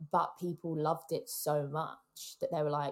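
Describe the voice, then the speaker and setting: A woman's very deep, low-pitched voice carries vocal fry. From England. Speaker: podcast producer and co-host. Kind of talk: casual chat.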